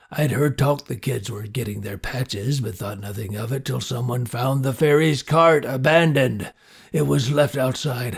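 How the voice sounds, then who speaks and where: A man puts on a gruff, raspy character voice at a medium pitch, with ordinary pitch variation. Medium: read story. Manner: gruff, laconic.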